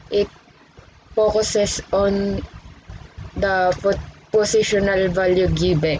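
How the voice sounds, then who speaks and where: Over noticeable background noise, a woman speaks very slowly in a flat monotone, leaving long, frequent pauses. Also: medium pitch for a woman. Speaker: student presenter. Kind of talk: tutorial.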